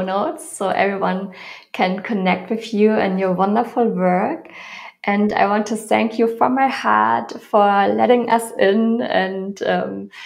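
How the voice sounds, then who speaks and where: A woman talks fairly slowly, and the room adds audible echo. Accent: German. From Germany. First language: German. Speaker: podcast host, yoga teacher. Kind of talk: interview.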